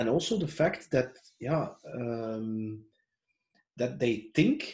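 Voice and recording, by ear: A man speaks slowly at a medium pitch, his intonation lively. His tone is slightly mellow.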